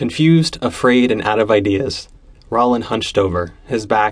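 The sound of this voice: Reading in an unforced voice, the speaker uses lively intonation.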